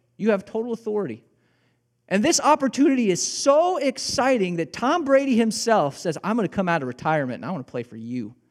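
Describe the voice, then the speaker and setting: A man with a Midwestern American accent talks at a very fast pace in a high voice, his pitch swinging very widely in an animated tone. The recording is very clean with a silent background. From Illinois. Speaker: pastor. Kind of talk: sermon.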